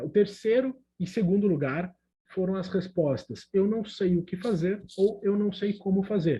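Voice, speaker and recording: At a fairly slow pace, a man with a high pitch and a dark, mellow tone speaks with ordinary pitch variation. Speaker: emotional intelligence coach, speaker. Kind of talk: online talk.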